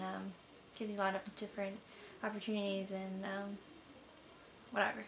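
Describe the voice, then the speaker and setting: Against noticeable background noise, a woman with an American accent speaks at a medium pitch and moderate pace in a flat, monotone way. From US South, Jacksonville, Florida. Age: 20s. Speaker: military enlistee vlogger. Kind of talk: casual vlog monologue. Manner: hesitant, many fillers.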